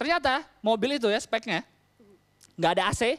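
A man against a quiet background. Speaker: stand-up comedian. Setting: stage with audience. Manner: casual Jakarta-style slang, conversational and quick. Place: stage. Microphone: handheld.

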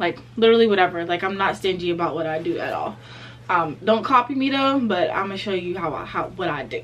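A woman talking at a very fast pace with very wide pitch swings over light background noise. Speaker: vlogger. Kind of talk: casual vlog chat. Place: home room. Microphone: phone near.

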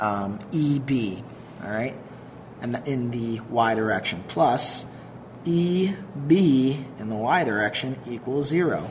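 The speech moves at a very slow pace. Light background noise runs underneath. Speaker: teacher explaining truss problem. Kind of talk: tutorial.

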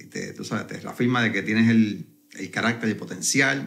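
Vocal fry runs through this man's voice. He speaks at a moderate pace. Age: 40s. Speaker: network marketing entrepreneur. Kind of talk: interview conversation.

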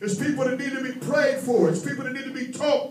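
With light background noise and audible room echo, a man speaks in an animated tone at an extremely high pitch. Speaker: preacher. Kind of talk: sermon. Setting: church. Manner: animated, call-and-response preaching with constant 'amen' and rising intensity. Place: hall. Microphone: handheld.

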